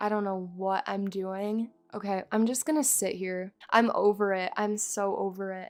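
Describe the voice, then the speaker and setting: With a bored, tired tone, a woman speaks at a fairly high pitch. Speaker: gaming YouTuber. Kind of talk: casual gameplay commentary. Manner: sounds tired; bored-sounding.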